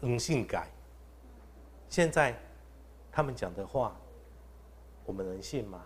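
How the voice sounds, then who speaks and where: A man speaks at a medium pitch. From Taichung, Taiwan. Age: young. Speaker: council candidate, recall campaign leader. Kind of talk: live-streamed panel discussion. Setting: live broadcast venue with studio audience. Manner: gentle and refined.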